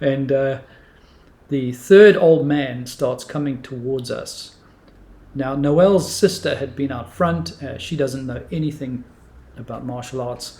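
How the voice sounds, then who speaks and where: Speaking at a fairly slow pace, a man with a fairly high pitch and a dark, mellow, somewhat breathy tone shows ordinary pitch variation and big swings in loudness. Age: 60s. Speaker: martial arts teacher. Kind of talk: storytelling.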